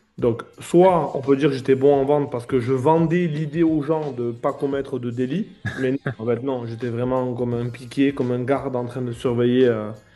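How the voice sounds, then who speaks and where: A man with a medium pitch talks at a moderate pace and fairly even intonation. Music plays in the background. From southern France. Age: 40s. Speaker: remote closer, former security guard. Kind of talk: interview testimony.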